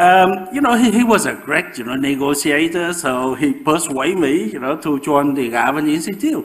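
A high-pitched man with a Vietnamese accent and lively intonation. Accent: Vietnamese-accented English, moderate. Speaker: professor and osteoporosis researcher. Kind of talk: public lecture. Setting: lecture with audience. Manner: halting, with frequent fillers. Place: hall.

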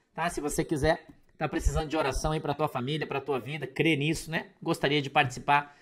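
With a Brazilian accent, a man talks at a fairly quick pace. His fairly high voice has a bright, sharp tone. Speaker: preacher and online commentator. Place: home room. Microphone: webcam.

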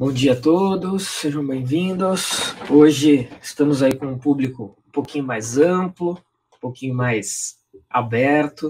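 A man's voice at a very slow pace, with ordinary pitch variation and light background noise. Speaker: online class host. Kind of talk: lecture intro, live stream. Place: home room.

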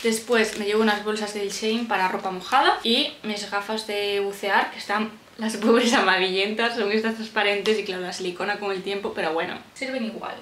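A woman talks at a moderate pace with hardly any pauses and fairly even intonation. Light background noise and audible room echo are present. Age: 20s. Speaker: civil service exam candidate; vlogger. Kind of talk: casual talk to camera. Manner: chatty, relaxed.

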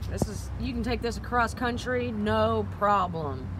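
A woman's voice at a moderate pace, with noticeable background noise. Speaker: motorcycle salesperson. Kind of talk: product walkaround commentary. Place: street. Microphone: phone near.

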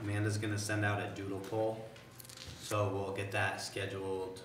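A man's fairly low, monotone, flat voice, with light background noise and audible room echo. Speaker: town manager giving report. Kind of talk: meeting report. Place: meeting room. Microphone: camera far.

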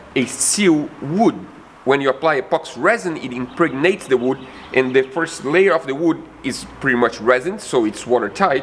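Lively intonation over light background noise. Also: man, moderate pace. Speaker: van conversion vlogger. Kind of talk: tutorial. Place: hall.

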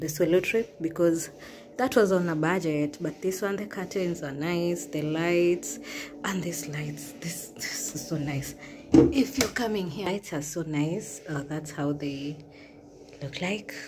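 A woman speaks at a fairly slow pace in a very deep, low pitch. Faint music plays in the background. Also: ordinary pitch variation. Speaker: travel vlogger. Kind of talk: casual vlog chat. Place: home room. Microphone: phone near.

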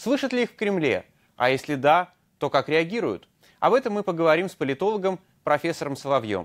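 Against a quiet background, a high-pitched man speaks at a fairly quick pace with very wide pitch swings and long, frequent pauses. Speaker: news anchor, interviewer. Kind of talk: interview. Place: studio. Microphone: lapel.

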